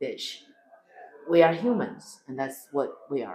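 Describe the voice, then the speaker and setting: A woman with a Chinese accent, moderate pace, and audible room echo. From China. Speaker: comedian. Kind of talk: interview. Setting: backstage before a show. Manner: animated.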